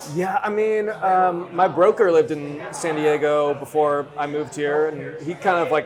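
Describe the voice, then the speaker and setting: A man with a Californian accent talks at a moderate pace with hardly any pauses. His pitch variation is ordinary, and music plays in the background. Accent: General American (Californian). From Northern California (Davis, near Sacramento). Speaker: real estate agent. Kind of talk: casual chat.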